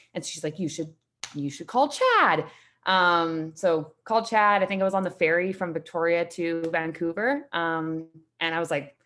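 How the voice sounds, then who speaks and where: In a Canadian accent, a woman speaks at a moderate pace with a bright, sharp tone. Her pitch is fairly low, with ordinary variation. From Canada, Saskatchewan (Saskatoon). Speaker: gym member, digital marketer. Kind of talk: casual interview. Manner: casual.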